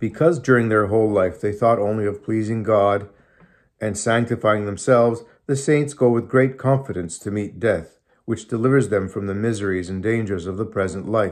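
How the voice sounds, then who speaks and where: Over a quiet background, a man talks with ordinary pitch variation and a moderate pace. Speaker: religious reader. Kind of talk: sermon reading. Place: home room. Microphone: phone near.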